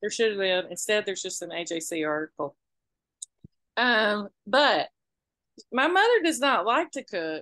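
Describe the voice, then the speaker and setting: A woman with an American accent speaks at a fairly high pitch with a bright, sharp tone and very wide pitch swings. Her pace is moderate with long, frequent pauses, and the sound is dry and close with no echo. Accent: Southern, more pronounced on the podcast. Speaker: podcast co-host. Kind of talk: casual chat. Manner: animated.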